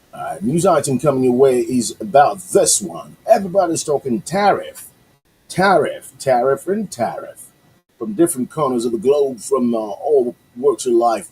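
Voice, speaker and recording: This man has a fairly high, somewhat breathy voice. He talks at a moderate pace with lively intonation. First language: Yoruba. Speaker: radio host. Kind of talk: casual radio talk with news commentary. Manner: hesitant, many fillers.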